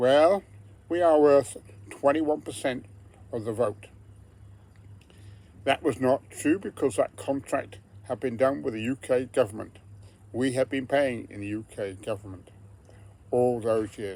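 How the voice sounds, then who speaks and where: A man with a medium-pitched voice and a dark, mellow tone speaks with lively intonation. He goes at a fairly slow pace with long, frequent pauses. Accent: strong English. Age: 70s. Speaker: retired pensioner vlogger. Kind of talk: personal political monologue.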